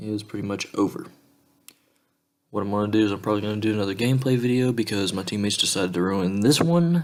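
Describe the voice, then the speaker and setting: Soft-spoken, a man talks in a fairly low pitch. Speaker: gaming video creator. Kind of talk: let's play commentary. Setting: home recording. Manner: quiet.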